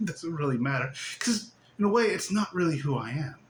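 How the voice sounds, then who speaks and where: A man's voice with very wide pitch swings amid noticeable background noise. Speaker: spiritual teacher. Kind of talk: casual spiritual monologue. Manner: animated, giggly.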